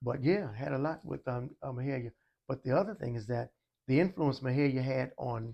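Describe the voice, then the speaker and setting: Speaking fairly quickly with an American accent, a man uses ordinary pitch variation. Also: medium pitch for a man. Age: 60s. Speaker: music educator. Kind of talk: interview. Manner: halting.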